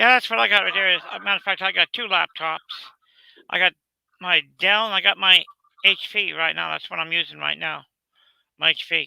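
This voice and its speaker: The speech runs at a fairly quick pace. Long pauses come often. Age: 60s. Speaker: retiree joining a livestream. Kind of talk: casual chat. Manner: halting.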